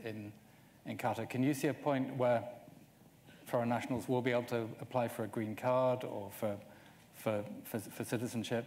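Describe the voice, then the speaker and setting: Delivery stays monotone, with flat intonation. It moves at a moderate speed. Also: man. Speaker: journalist. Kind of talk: panel interview. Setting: stage with audience. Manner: hesitant, repeats words. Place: stage. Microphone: lapel.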